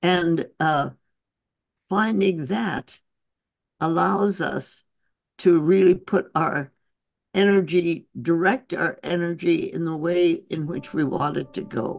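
With an American accent, a woman talks at a very slow pace and a fairly low pitch, with ordinary pitch variation and long, frequent pauses. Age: 80s+. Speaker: physician and author. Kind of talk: interview answer.

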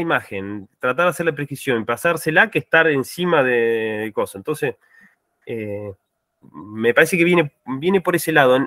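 An ordinary speaking voice moves at a fairly slow pace, with a dry sound, no echo, and a quiet background. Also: man. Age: 30s. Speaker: farm agriculture manager; panelist. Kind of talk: online meeting testimony. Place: home room.

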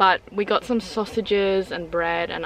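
A normal speaking voice with fairly even intonation, recorded dry with no echo over light background noise. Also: woman. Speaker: travel vlogger. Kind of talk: casual vlog chat. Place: car. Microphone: phone near.

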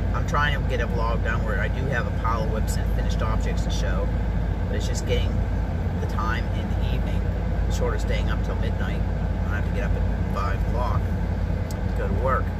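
Amid loud background noise, a woman talks at a fairly quick pace, the sound dry with no echo. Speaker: crochet vlogger. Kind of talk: casual vlog chat. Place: car. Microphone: phone near.

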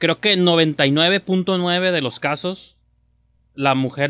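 Speaking with a Mexican accent, a man uses ordinary pitch variation. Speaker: film podcast host. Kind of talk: casual chat. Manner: animated.

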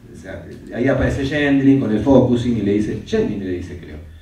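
There is light background noise and audible room echo around the man speaking. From Argentina. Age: 70s. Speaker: psychotherapist and author; interviewee. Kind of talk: interview in front of an audience. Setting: stage with audience. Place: meeting room.

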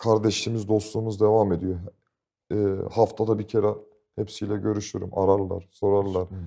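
A man at a moderate pace, fairly low in pitch, with a dark, mellow tone, monotone, flat intonation and long, frequent pauses over a quiet background. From Istanbul, Turkey; Turkey. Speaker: football fan group leader; guest. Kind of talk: casual interview chat. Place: studio. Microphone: lapel.

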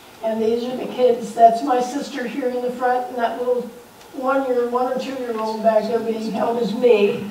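Room echo is audible along with light background noise. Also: moderate pace. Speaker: former neighbor sharing memories. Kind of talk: storytelling to audience. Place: hall. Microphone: camera far.

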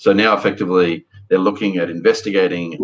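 Over a quiet background, a man speaks with an Australian accent. His pace is moderate. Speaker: podcast host. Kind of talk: casual discussion of news. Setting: video call. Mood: calm, measured. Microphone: webcam.

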